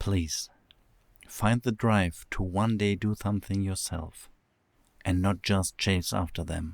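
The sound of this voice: A man speaks slowly in a low, put-on character voice with vocal fry. His intonation stays fairly even.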